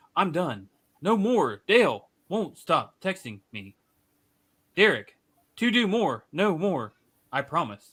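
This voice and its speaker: A man speaks in a put-on character voice, pitched high with very wide swings and a dramatic tone. His pace is fairly slow, broken by long, frequent pauses. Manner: halting, dramatic reading.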